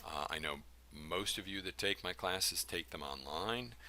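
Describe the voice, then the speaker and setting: Bright, sharp tone with vocal fry, at a moderate pace. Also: man. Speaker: college instructor. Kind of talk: recorded lecture. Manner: halting, many fillers.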